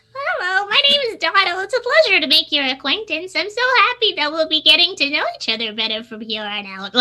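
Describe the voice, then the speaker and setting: An extremely high-pitched, female-sounding put-on character voice with very wide pitch swings and a fairly quick pace. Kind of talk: very polite.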